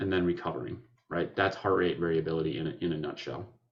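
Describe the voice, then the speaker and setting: A man with a very deep, low pitch. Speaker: functional neurologist. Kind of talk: webinar presentation. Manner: fast.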